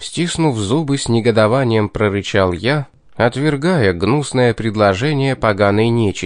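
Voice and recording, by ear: A natural voice reads the text aloud.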